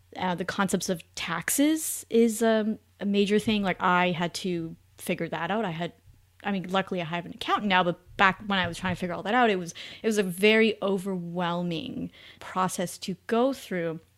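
A normal speaking voice from a woman with a Canadian accent, medium in pitch, with ordinary pitch variation and a moderate pace. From Canada. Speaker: finance writer and podcast host. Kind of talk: interview conversation.

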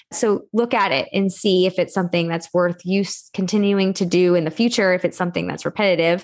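A woman with an American accent uses an ordinary speaking voice at medium pitch, speaking at a fairly quick pace with hardly any pauses. Her intonation is fairly even, her loudness very even, and the background quiet. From Texas. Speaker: entrepreneur, organization coach. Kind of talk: podcast interview.

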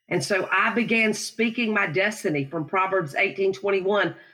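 A woman with a Southern US accent talks at a moderate pace and medium pitch, with ordinary pitch variation. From South Carolina. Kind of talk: interview testimony.

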